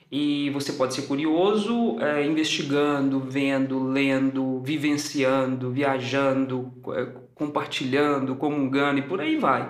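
Over noticeable background noise and audible room echo, a man talks at a very slow pace with fairly high pitch and fairly even intonation. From Belo Horizonte, Minas Gerais, Brazil. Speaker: theatre director and acting teacher. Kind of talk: casual interview.

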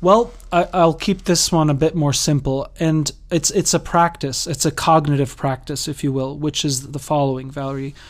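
An ordinary speaking voice with ordinary pitch variation at a moderate pace. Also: man, fairly high pitch for a man. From Massachusetts, US. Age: 30s. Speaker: life coach and spiritual counselor. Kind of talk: casual interview.

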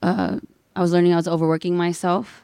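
A woman's fairly low voice, dark and mellow in tone, with an American accent. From Inland Empire, Southern California. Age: 20s. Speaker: DJ. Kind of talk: casual chat.

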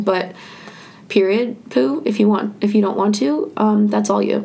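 A woman with lively intonation talks at a fairly slow pace, with audible room echo and noticeable background noise. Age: 20s. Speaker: student radio podcast host. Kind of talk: casual chat. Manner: casual with many fillers.

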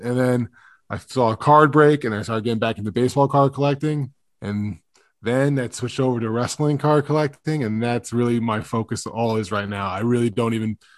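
A man with an American accent speaks at a fairly quick pace in a medium pitch with ordinary pitch variation. His is an unremarkable speaking voice, heard over a quiet background. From Long Island, New York. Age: 30s. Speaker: wrestling card podcaster. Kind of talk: casual chat. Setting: video call.

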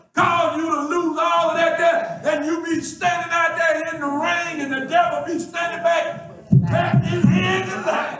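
A man with an extremely high pitch, a fairly slow pace, fairly even intonation and hardly any pauses, with crowd noise in the background. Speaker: preacher. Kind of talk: sermon. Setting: church. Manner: loud, rhythmic, call-and-response, fervent.

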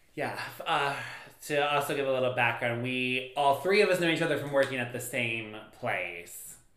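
Noticeable background noise accompanies a man whose voice has ordinary pitch variation. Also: medium pitch for a man, moderate pace. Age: 30s. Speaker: podcast co-host. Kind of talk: casual chat.

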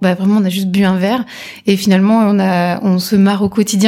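In a very clean recording with a silent background, a woman speaks at a medium pitch with a dark, mellow tone and monotone, flat intonation. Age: 30s. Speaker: entrepreneur, former digital marketer. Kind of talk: casual interview.

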